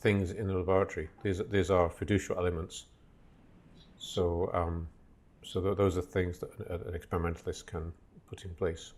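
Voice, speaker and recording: Over a silent background in a very clean recording, a man speaks at a moderate pace with a very deep, low pitch. His loudness swings widely, his voice is somewhat breathy, and he leaves long, frequent pauses. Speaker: lecturer. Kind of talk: lecture. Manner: halting.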